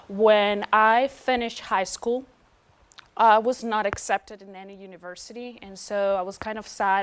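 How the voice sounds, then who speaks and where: A woman with a Venezuelan accent speaks at a fairly slow pace. Her medium-pitched voice stays monotone and flat. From Venezuela, Caracas. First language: Spanish. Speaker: PhD student. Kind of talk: interview testimony. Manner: hesitant with many fillers.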